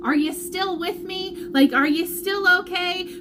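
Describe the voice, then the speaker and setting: A woman speaks loudly and animatedly at an extremely high pitch and a fairly slow pace. Audible room echo and noticeable background noise fill the recording. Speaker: vlogger sharing family health updates. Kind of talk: live video update. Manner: loud, animated.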